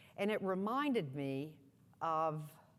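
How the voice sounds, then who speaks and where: A woman with an American accent speaks in a very clean recording with a silent background. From US South. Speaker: nonprofit executive. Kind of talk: keynote speech.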